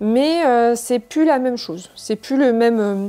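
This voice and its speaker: The recording is very clean, and the background is silent. A woman's voice carries a dark, mellow tone. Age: 30s. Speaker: cosplayer and YouTuber. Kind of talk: casual chat. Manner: fast; hesitant, many fillers.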